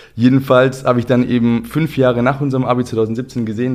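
A man is speaking. His pitch is medium. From southern Germany, Ulm. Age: 30s. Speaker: football coaching company co-founder. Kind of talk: casual chat. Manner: animated.

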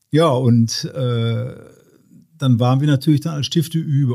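At a fairly slow pace, a man speaks at a medium pitch in a dark, mellow tone. His voice is somewhat breathy, with ordinary pitch variation. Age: 60s. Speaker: deacon and emergency chaplain. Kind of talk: casual interview chat. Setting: basement home recording.

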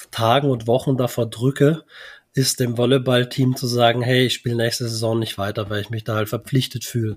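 A man talks at a moderate pace and medium pitch, somewhat breathy. His intonation is monotone and flat, in a very clean recording with a silent background. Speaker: podcast co-host. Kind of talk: casual chat.

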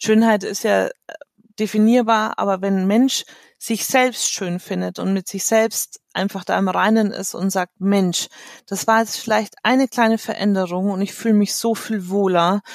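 A woman's medium-pitched voice, monotone and flat, at a fairly slow pace, in a dry, close sound with no echo. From Munich, Germany. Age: 40s. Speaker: make-up artist and coach. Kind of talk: interview.

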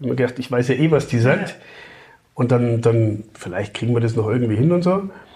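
A man with a somewhat breathy, dark, mellow tone talks at a fairly quick pace with lively intonation. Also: medium pitch for a man. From Upper Franconia, Germany (Kulmbach). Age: 50s. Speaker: father and podcast guest. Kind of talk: casual chat.

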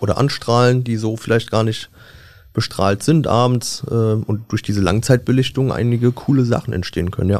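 Male speech in a plain, everyday voice, mid-range in pitch, rather level in intonation, at a medium tempo. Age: 20s. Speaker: press photographer, podcast co-host. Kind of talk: casual chat.

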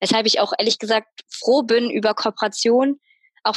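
A woman's voice with fairly even intonation. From Münster, Germany. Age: 20s. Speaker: media designer and Instagram creator. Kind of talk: casual interview chat.

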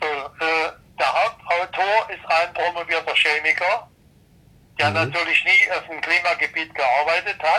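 The man's high voice has a bright, sharp tone, with ordinary pitch variation and a fairly slow pace. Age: 70s. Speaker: retired engineer and climate expert. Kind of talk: interview.

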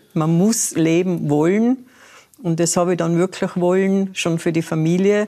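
Her voice is dark and mellow, with a fairly low pitch, fairly even intonation and very even loudness, as this woman talks at a fairly slow pace. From Austria, Tyrol. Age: 80s+. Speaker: retired solo backpack traveller. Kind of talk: talk show interview.

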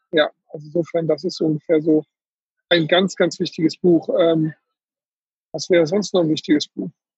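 Pitched high, a man speaks at a moderate pace in a monotone, flat intonation. He leaves long, frequent pauses. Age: 40s. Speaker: tax advisor, firm owner. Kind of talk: casual interview.

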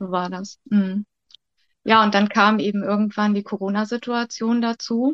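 In an ordinary speaking voice, a woman at medium pitch speaks at a moderate pace with fairly even intonation, the sound dry and close with no echo. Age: 50s. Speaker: childcare worker. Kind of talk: interview.

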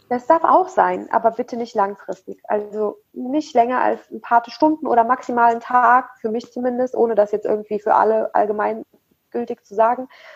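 A woman with a fairly high pitch talks in a normal speaking voice, with hardly any pauses, ordinary pitch variation and big swings in loudness. The sound is dry and close, with no echo. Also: moderate pace. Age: 30s. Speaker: Ayurveda blogger and nutrition consultant. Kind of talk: personal interview testimony. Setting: video call. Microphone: poor audio quality.

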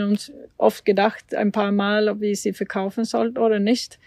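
In a Swedish accent, a woman speaks very slowly with fairly even intonation. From Sweden. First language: Swedish (speaking German). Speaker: Olympic eventing rider. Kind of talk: casual interview. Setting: at the family farm. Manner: hesitant, many fillers.

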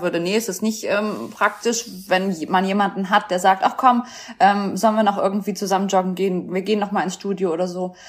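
Over noticeable background noise, a medium-pitched woman speaks fairly quickly with fairly even intonation. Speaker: former weight-loss show contestant. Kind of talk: casual interview.

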